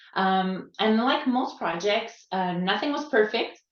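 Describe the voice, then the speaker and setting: A woman with a Quebec accent speaks with ordinary pitch variation. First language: French. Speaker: quality assistance coach. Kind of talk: conference talk. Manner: halting, searching for words.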